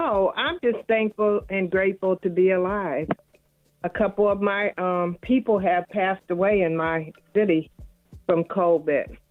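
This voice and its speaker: Over music in the background, a woman of medium pitch speaks at a fairly slow pace with ordinary pitch variation. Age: 60s. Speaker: caller, grocery store worker. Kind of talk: phone call-in chat.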